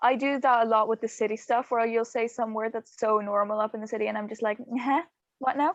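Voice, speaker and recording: Speech in a West Cork accent comes at a fairly quick pace with fairly even intonation. The sound is dry and close, with no echo. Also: woman, fairly high pitch for a woman. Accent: rural West Cork Irish. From Ireland, rural West Cork. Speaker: podcast co-host. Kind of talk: casual chat.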